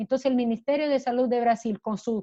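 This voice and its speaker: This woman has a Portuguese accent. Her pitch is high. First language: Portuguese (speaking Spanish). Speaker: human rights lawyer. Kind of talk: panel talk. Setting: video call. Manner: halting.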